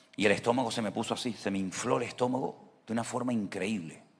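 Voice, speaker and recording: A man with fairly low pitch talks at a moderate tempo, his pitch varying in an ordinary way. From Venezuela. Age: 60s. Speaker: pastor. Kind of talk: sermon.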